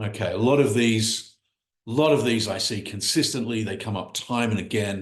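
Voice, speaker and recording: An enthusiastic, somewhat breathy man at a medium pitch with an American accent, ordinary pitch variation, and audible room echo. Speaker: business coach. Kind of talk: online workshop presentation. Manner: fast.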